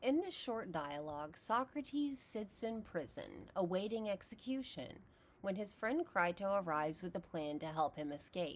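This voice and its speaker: At a moderate pace, a woman talks at medium pitch with very wide pitch swings. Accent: American. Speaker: philosophy educator. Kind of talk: lecture.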